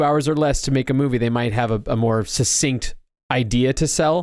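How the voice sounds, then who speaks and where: A man speaks fairly quickly in a very clean recording where the background is silent. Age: 30s. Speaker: podcast co-host. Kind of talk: casual chat. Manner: hesitant, repeats words.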